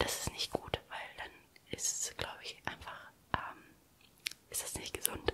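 Whispering, a woman keeps to a moderate pace. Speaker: ASMR creator. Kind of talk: casual ASMR chat about relationships. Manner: whispered. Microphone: studio mic.

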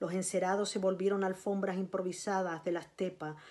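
In a Canarian accent, a woman speaks at a moderate pace and a medium pitch. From Canary Islands, Tenerife. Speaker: writer and librarian. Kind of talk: reading aloud of a literary narrative passage, after a casual introduction. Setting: video recording for a virtual recital. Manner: measured, narrative reading with a storytelling cadence; halting, repeating words in the intro. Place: home room. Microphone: phone near.

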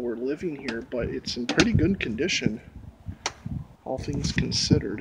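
Dry sound with no echo, under loud background noise. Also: man. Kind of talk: casual vlog chat. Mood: nervous, startled. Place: street. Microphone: phone near.

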